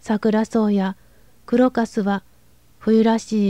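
A woman with a fairly high pitch and a dark, mellow tone sounds strained in a dry, close recording with no echo. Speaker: narrator. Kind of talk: audiobook reading of a classic novel. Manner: restrained, unemotional.

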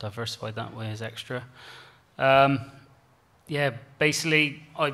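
A man's bright, sharp voice at a medium pitch, with ordinary pitch variation and a fairly slow pace. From Cornwall, England. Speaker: beef farmer; panelist. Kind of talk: conference panel talk. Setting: stage with audience. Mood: relaxed, good-humoured. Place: hall. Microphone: podium.

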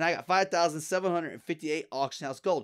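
This is a man speaking. His pitch sits high for a man. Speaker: gaming video creator. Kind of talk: gameplay tutorial commentary. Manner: fast talker; casual and rambling.

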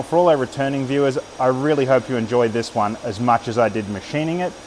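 Over light background noise, a man speaks fairly quickly, his pitch varying in an ordinary way. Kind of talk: casual vlog chat. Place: workshop. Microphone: phone near.

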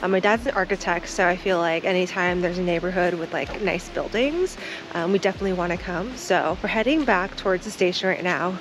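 A woman speaks at a fairly quick pace over music in the background. The sound is dry with no echo. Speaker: travel vlogger. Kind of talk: casual vlog chat. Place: street. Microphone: phone near.

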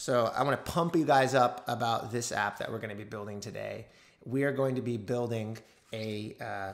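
A man speaks at a moderate pace, with his pitch moving in an ordinary way. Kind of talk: tutorial. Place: home room.

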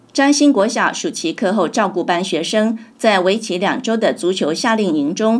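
Her medium-pitched voice swinging very widely in pitch, a woman speaks. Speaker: news reporter. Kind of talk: news reading.

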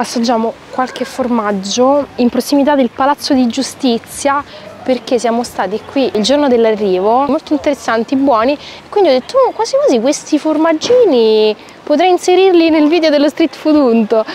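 Recorded with a dry sound with no echo and light background noise, a woman speaks at a high pitch. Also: moderate pace. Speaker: travel vlogger. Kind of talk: casual vlog chat. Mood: cheerful, playful, curious. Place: street. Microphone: lapel.

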